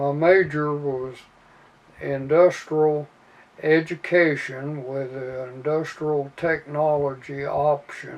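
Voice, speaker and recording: A man with a Midwestern American accent speaks in a fairly high, monotone voice with flat intonation. His pace is very slow and his loudness swings widely. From Indiana. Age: 80s+. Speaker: army veteran. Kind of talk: interview answer. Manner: hesitant, with fillers.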